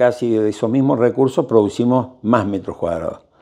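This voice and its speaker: A dark, mellow tone over a quiet background. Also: man. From Argentina. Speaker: architect. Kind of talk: interview. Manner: halting. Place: office. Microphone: lapel.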